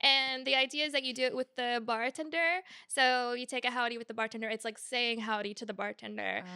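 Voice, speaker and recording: With a slight Georgia accent, a woman speaks high and fairly quick in a bright, sharp tone, with fairly even intonation, hardly any pauses, and a dry, close sound with no echo. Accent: slight Georgia Southern. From US South, Georgia. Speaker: podcast host. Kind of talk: casual chat.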